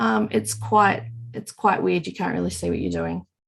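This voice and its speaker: On a very clean recording with a silent background, a woman speaks in an Australian accent. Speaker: knitting podcast co-host. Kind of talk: casual podcast conversation.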